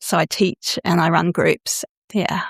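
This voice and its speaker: At a fairly slow pace, a woman with a normal speaking voice and medium pitch keeps fairly even intonation in a dry, close sound with no echo. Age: 60s. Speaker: sexological bodyworker and consent teacher. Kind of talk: podcast interview.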